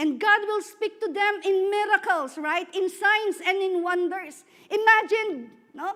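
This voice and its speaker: A woman speaks loudly at an extremely high pitch. Her tone is bright and sharp. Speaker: preacher. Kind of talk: sermon. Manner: animated.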